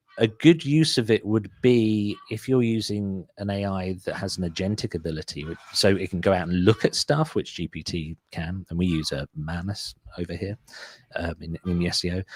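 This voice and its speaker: A man with a strong British accent speaks at a very deep, low pitch with ordinary pitch variation, in a dry, close sound with no echo on a very clean recording with a silent background. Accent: thick British. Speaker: SEO agency owner. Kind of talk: interview, casual business talk. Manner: fast, with fillers and false starts.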